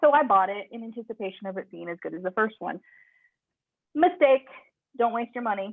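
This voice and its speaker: A woman's fairly high voice at a fairly quick pace, with lively intonation, big swings in loudness and long, frequent pauses. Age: 30s. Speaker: podcast host. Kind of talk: casual chat. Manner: animated.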